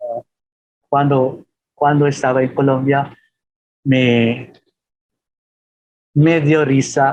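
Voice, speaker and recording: With a Filipino accent, a man talks at a very slow pace in a monotone, flat way, with long, frequent pauses. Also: fairly high pitch for a man. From Philippines. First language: Filipino (speaking Spanish). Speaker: professor. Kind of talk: webinar Q&A talk. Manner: halting with fillers.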